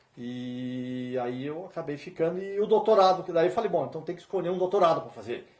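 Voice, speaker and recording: A man at a high pitch and fairly quick pace, with hardly any pauses, lively intonation and big swings in loudness. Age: 50s. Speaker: musician and professor. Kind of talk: interview.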